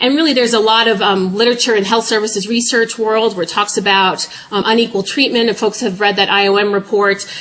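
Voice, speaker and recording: A woman talks very fast at a medium pitch with fairly even intonation. Noticeable background noise can be heard. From New York. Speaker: public health professor. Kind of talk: lecture.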